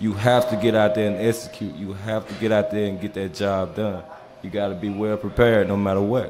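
A man talks at a fairly quick pace in a fairly low pitch, his intonation monotone and flat. Clear music plays in the background. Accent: Mississippi. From Mississippi. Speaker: former college football player; podcast guest. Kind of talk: casual interview. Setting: live show on stage in a bar. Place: bar.

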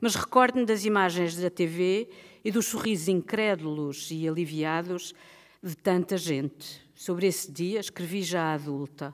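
A plain, everyday voice moves at a fairly slow pace with ordinary pitch variation against a quiet background. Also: woman, fairly low pitch for a woman. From Portugal. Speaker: writer and book editor; writer on festival panel. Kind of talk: prepared speech read aloud. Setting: stage with audience. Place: stage. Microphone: podium.

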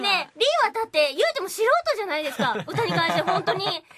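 A woman speaks at a moderate pace in an extremely high, raised and projected voice, her pitch swinging very widely over loud background noise. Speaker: voice actor. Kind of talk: radio talk show conversation. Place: studio. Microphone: studio mic.

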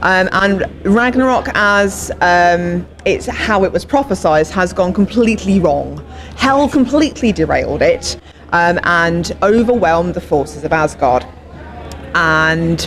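A woman speaks at a fairly slow pace in a fairly low pitch against light background noise. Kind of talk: interview answer. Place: gym. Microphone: handheld.

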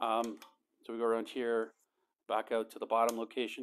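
Quiet surrounds the recording. A man speaks at a fairly quick pace. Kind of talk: tutorial. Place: garage. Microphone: phone near.

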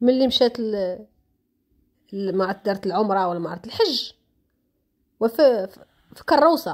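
Speaking fairly slowly, a woman leaves long, frequent pauses. Her pitch is fairly high and her intonation lively. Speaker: social media commentator. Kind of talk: casual vlog commentary. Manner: animated.

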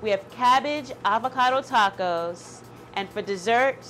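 Over music in the background, a woman talks at a fairly slow pace with lively intonation. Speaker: cooking show host. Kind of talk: show host intro. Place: kitchen. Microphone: lapel.

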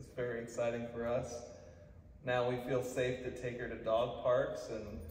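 Light background noise and audible room echo are present. A man speaks at a moderate pace. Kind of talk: testimonial interview answer. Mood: pleased, grateful. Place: hall. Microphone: camera far.

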